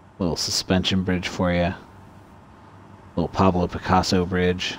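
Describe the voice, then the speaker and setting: Quiet, monotone delivery with flat intonation at a moderate pace. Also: man, very deep, low pitch for a man. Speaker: gaming streamer. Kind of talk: gameplay commentary.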